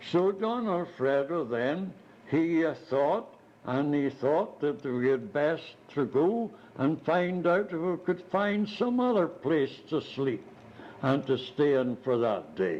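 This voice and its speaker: Speaking very slowly, a man with a fairly high pitch uses lively intonation and keeps his loudness very even. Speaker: retired missionary. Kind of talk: oral history storytelling. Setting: multi-purpose room at retirement home. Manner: animated; hesitant fillers. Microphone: cheap cassette recorder, tape crackle.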